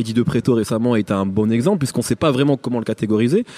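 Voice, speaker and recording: At a very fast pace, a man with a medium pitch talks in a dry, close sound with no echo. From Picardy. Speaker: podcast host, interviewer. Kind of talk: interview. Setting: hotel.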